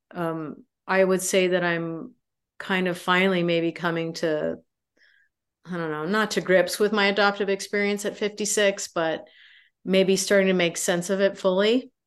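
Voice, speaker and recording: Set against a quiet background, a plain, everyday voice moves at a moderate pace with fairly even intonation. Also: woman, medium pitch for a woman. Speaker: adoption researcher and sociology professor. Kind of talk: interview.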